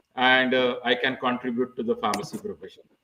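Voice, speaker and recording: A man with a Marathi accent speaks with fairly even intonation. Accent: Indian English, Marathi. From India, Maharashtra. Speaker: pharmacy professor. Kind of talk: interview.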